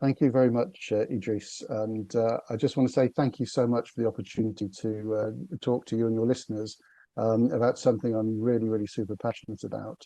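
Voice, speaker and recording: A man talks at a fairly quick pace in a medium pitch. His tone is dark and mellow, and his intonation stays fairly even. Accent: British. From northern England, Liverpool. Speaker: business consultant. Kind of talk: podcast interview. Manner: halting, many fillers and repetitions.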